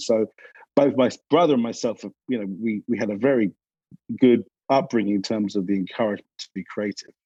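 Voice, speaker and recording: The man's voice has a dark, mellow tone at a medium pitch, with ordinary pitch variation, a fairly quick pace, and a dry, close sound with no echo. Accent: London. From England, North London. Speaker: advertising creative director. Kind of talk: interview conversation.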